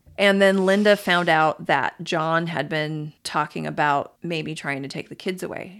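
A woman speaks at a moderate pace in a fairly low voice with fairly even intonation, an unremarkable speaking voice. The recording is very clean, with a silent background. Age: 40s. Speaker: podcast host, storyteller. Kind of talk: casual storytelling chat. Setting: home office.

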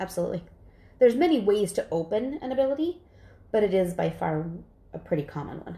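A woman's dark, mellow, medium-pitched voice with vocal fry at a very fast pace, with long, frequent pauses, very wide pitch swings and big swings in loudness. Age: 40s. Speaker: psychic medium. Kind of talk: casual chat.

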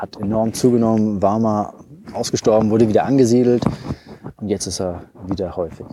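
Amid noticeable background noise, a man speaks at a moderate pace in a fairly low pitch with fairly even intonation. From Hesse, Germany (Taunus). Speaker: wildlife photographer and biologist. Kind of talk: casual interview.

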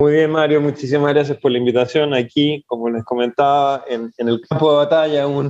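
The delivery is fairly quick with hardly any pauses and a monotone, flat intonation. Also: man, fairly high pitch for a man. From Chile. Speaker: startup founder and CEO. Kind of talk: interview, casual conversation.

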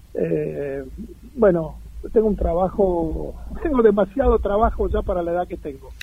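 Noticeable background noise runs under a man speaking at a fairly slow pace. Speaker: former professional footballer. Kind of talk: interview.

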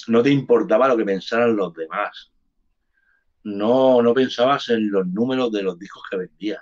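Here a man speaks at medium pitch. His pace is fairly slow. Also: ordinary pitch variation. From Barcelona, Spain (born in Andalusia). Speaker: hip hop artist. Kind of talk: casual interview chat. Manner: animated.

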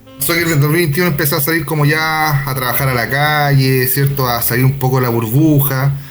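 A man speaks at a fairly quick pace and a fairly high pitch, with fairly even intonation, very even loudness and hardly any pauses, over background music and audible room echo. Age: 30s. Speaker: podcast co-host. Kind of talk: casual chat.

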